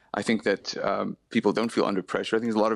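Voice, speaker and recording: Against a quiet background, the speech races at a very fast pace with a dry, close sound with no echo. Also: man. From South Africa. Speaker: website editor. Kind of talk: heated debate; radio interview. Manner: combative.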